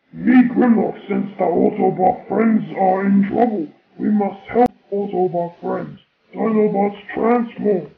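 A man does a put-on character voice, pitched high and delivered fairly slowly. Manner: broken grammar, blunt.

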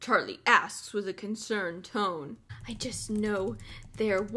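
This recording is plain reading aloud.

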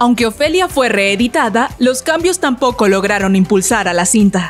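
With music in the background, a woman with a fairly high voice speaks at a moderate pace with lively intonation. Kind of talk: celebrity biography narration.

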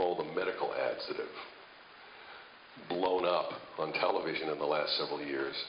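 Light background noise with audible room echo. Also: man. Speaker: radio imaging director and producer. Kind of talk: conversational talk to camera about radio production, anecdote. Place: hall. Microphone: handheld.

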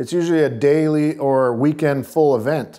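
Fairly even intonation against a quiet background. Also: man. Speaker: guest. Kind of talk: interview answer. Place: studio. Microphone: lapel.

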